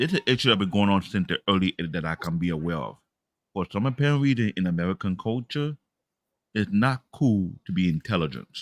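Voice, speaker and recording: A man with an African accent speaks very fast at a fairly low pitch with lively intonation, the recording very clean, dry and close, with no echo and a silent background. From Africa, immigrated to US as child. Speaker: podcast host. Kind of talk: casual chat.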